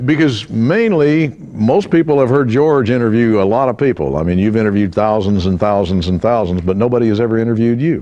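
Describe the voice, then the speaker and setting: A man talks very fast at a medium pitch, with lively intonation and hardly any pauses. His loudness stays very even against noticeable background noise. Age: 70s. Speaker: radio announcer, voiceover artist. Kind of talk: interview questions.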